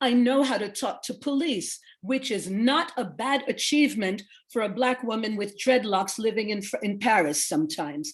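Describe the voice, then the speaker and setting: With lively intonation and a moderate pace, a woman with a plain, everyday voice and fairly high pitch is heard in a very clean recording against a silent background. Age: 60s. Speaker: social worker.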